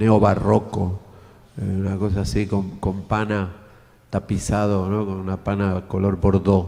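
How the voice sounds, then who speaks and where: A man speaks with an Argentine accent. His tone is dark and mellow, and his intonation is monotone and flat. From Argentina. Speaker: design lecturer, audience member. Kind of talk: Q&A after a talk. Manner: halting.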